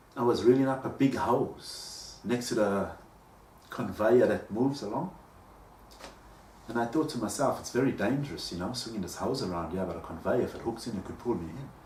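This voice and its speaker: This man talks at a fairly quick pace in a medium pitch with ordinary pitch variation. Audible room echo can be heard. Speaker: vlogger. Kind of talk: personal monologue. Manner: halting.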